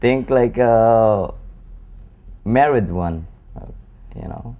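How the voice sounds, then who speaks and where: Audible room echo surrounds a man speaking at medium pitch. He talks at a very slow pace, with ordinary pitch variation. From Philippines. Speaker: pool player. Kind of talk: interview.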